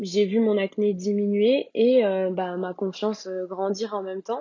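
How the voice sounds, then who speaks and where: Her pitch sits in the middle range as a woman talks very slowly, her intonation fairly even. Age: 20s. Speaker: podcast guest sharing her acne story. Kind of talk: personal testimony. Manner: hesitant, many fillers.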